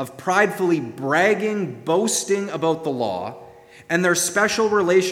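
In an unforced reading voice, the pitch moves an ordinary amount.

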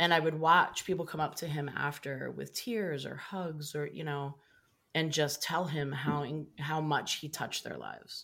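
A woman's very deep, low voice with vocal fry, a bright, sharp tone, fairly even intonation and a moderate pace, on a very clean recording with a silent background. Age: 50s. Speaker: leadership consultant and speaker. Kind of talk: interview.

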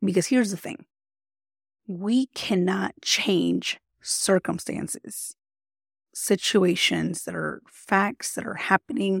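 Vocal fry runs through a woman's medium-pitched voice, which has ordinary pitch variation and a dry, close sound with no echo. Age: 30s. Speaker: podcast host and life coach, army veteran. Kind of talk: casual motivational monologue. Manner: conversational, with fillers.

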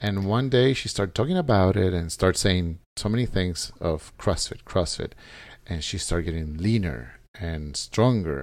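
A man talks at a moderate pace with a Spanish accent, very deep and low in pitch, and his intonation is lively. The recording is very clean, with a silent background. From El Salvador. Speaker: gym member. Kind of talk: casual interview.

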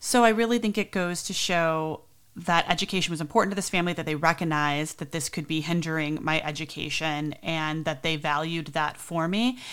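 Speaking with a normal speaking voice, a woman with an American accent talks fairly quickly at a fairly low pitch with ordinary pitch variation. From US Midwest, south suburbs of Chicago. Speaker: podcast host, nanny. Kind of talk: casual storytelling monologue.

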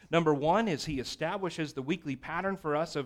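An animated male voice on a very clean recording with a silent background. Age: 30s. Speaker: pastor. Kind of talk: sermon.

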